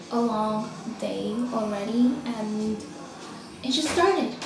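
The clip carries noticeable background noise along with audible room echo. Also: woman. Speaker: model vlogger. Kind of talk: casual vlog chat. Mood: stressed, venting frustration. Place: bathroom. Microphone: phone near.

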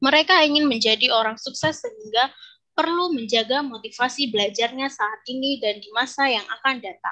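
Against a quiet background, a woman talks at a fairly quick pace in a bright, sharp, high-pitched voice with ordinary pitch variation. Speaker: English lecturer. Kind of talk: conference presentation. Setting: video call. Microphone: video call.

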